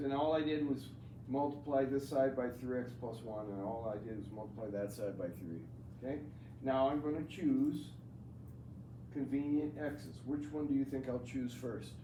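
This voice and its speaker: Against noticeable background noise and audible room echo, a man speaks at a medium pitch and moderate pace with ordinary pitch variation. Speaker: math teacher. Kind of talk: classroom lecture. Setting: classroom with students.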